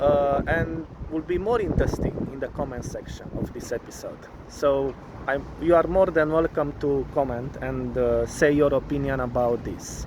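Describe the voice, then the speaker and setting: With noticeable background noise, a man in a Romanian accent talks at a fairly high pitch with ordinary pitch variation. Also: moderate pace. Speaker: vlogger. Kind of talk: casual vlog monologue. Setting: studio. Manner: halting, many fillers.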